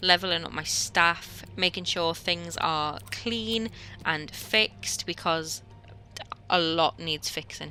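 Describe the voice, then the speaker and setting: A woman's fairly low voice at a very slow pace, with ordinary pitch variation and music in the background. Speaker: recently qualified marine biologist. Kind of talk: gameplay commentary voiceover.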